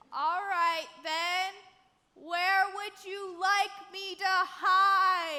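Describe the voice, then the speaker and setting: An extremely high-pitched put-on character voice crawls along at a very slow pace. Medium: stage play. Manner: dim, folksy.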